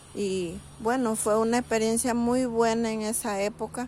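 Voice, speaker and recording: This speaker has a Chiriquí Panamanian accent and a fairly slow pace. The intonation stays monotone and flat. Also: woman. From Panama, Chiriquí (Bugaba). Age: 60s. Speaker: interviewee recalling childhood. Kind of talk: personal testimony. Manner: conversational, with hesitations.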